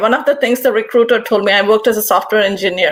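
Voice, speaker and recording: The speaker has an Indian accent and ordinary pitch variation. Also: woman. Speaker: panelist, former software engineer. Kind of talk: panel discussion. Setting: live stream.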